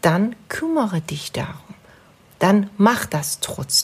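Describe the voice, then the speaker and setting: A woman speaks with a Persian accent in a somewhat breathy voice. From Iran. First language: Persian (speaking German). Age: 30s. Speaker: psychologist. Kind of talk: casual interview. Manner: halting.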